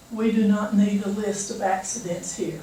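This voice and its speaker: A woman with a medium-pitched voice speaks at a fairly slow pace. Room echo is audible, and there is noticeable background noise. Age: 70s. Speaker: citizen speaker, nuclear safety critic. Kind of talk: public comment speech. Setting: public meeting.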